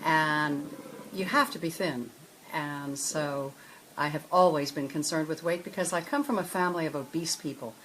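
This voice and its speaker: Using ordinary pitch variation, a woman with a very deep, low voice talks at a fairly quick pace. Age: 70s. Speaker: former fashion model. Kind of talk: interview testimony. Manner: halting.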